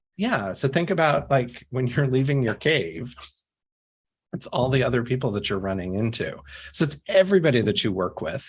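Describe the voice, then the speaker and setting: Pitched at a medium level, a man with an American accent speaks at a moderate pace and swings his pitch very widely. Vocal fry runs through his voice. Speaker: CEO and author, empathy expert. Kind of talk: podcast interview.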